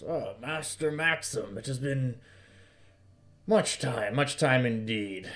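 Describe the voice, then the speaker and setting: A put-on character voice comes through raspy at a fairly slow pace. Long, frequent pauses break it up. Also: man, medium pitch for a man. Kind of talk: archaic, formal.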